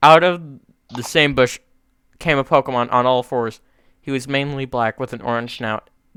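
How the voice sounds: With fairly even intonation, a natural reading voice comes through over a quiet background.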